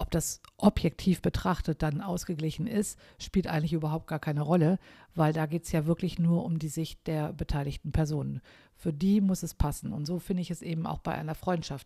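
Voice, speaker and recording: A woman with a very deep, low pitch and a dark, mellow, somewhat breathy tone speaks at a fairly quick pace with fairly even intonation, the sound dry and close with no echo on a very clean recording with a silent background. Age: 50s. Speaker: podcaster. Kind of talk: solo podcast monologue. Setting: at home overlooking the garden. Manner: casual, with fillers.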